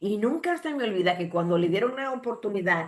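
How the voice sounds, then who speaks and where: The speaker talks at a moderate pace in an ordinary speaking voice. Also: woman. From Dominican Republic, Santo Domingo. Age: 60s. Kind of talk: sermon.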